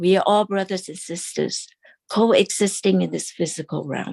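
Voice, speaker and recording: In a dry, close sound with no echo, a woman speaks at a medium pitch and a fairly slow pace. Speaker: temple class teacher. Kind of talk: lecture. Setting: online class.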